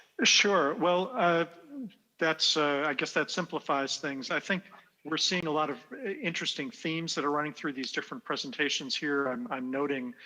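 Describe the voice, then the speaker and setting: At a moderate pace, a man talks with a fairly high, bright, sharp voice and ordinary pitch variation. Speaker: game designer and panel moderator. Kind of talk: panel discussion.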